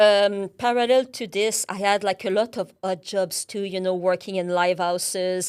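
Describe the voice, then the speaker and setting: A woman with a French Canadian accent talks at a moderate pace with hardly any pauses, medium pitch and fairly even intonation on a very clean recording with a silent background. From Quebec, Canada. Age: 30s. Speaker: account manager. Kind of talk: interview.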